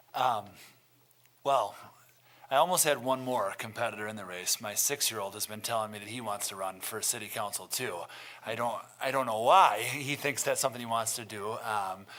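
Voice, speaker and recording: A man with an Upper Midwest accent speaks at a moderate pace. His medium-pitched voice has a bright, sharp tone. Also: ordinary pitch variation, big swings in loudness. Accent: Upper Midwest American. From Milton, Wisconsin, US Midwest. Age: 30s. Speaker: city council candidate. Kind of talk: candidate forum statement. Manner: hesitant, many fillers.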